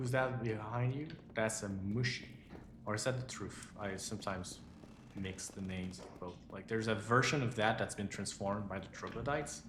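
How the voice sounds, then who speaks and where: In a room with audible echo, a man speaks at a fairly low pitch with ordinary pitch variation. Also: moderate pace. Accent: non-native. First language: not English. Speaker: game studio CEO streaming gameplay. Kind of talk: live gameplay stream. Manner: animated.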